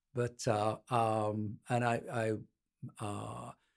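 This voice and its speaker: A man speaks at a medium pitch with a Birmingham accent. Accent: English Midlands, Birmingham. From Birmingham, England (Midlands). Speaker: patent litigator. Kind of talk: interview.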